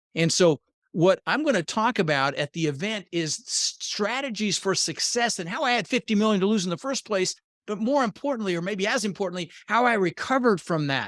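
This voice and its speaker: In a General American accent, a man with a high pitch talks at a fairly quick pace in an animated tone with lively intonation, recorded dry and close with no echo on a very clean recording with a silent background. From Denver, Colorado, US (born Netherlands). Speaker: real estate investor. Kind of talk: interview.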